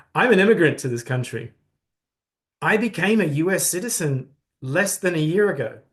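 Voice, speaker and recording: A man speaks at a moderate pace with a high pitch, lively intonation, long and frequent pauses, and a non-native accent. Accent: noticeable foreign. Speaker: human rights organization leader. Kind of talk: townhall address. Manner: earnest.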